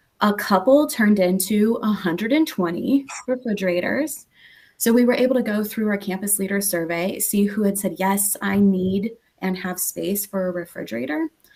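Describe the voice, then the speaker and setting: This woman has an American accent and a medium-pitched voice. She sounds somewhat breathy. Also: ordinary pitch variation. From not US East Coast. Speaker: nonprofit representative, panelist. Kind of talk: panel discussion presentation. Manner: fast.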